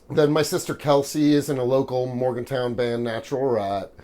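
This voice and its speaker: The talking moves at a moderate pace. It comes in an American accent. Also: man. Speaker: stand-up comedian. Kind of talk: interview. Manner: loud; halting.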